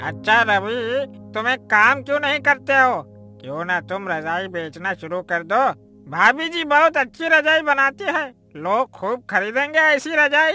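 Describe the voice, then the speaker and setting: Over faint background music, a man does a cartoonish character voice at an extremely high pitch, raised and projected, at a fairly slow pace. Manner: warm, enthusiastic.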